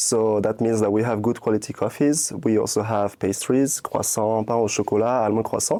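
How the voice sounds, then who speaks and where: With hardly any pauses, a man with a French accent talks at a moderate pace and medium pitch, his intonation fairly even and his tone dark and mellow. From France (born in Cameroon). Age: 20s. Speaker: cafe owner. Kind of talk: interview. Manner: hesitant, many fillers and repetitions.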